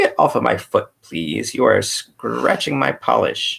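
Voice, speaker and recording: A man puts on a robotic character voice and talks at a fairly slow pace. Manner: polite.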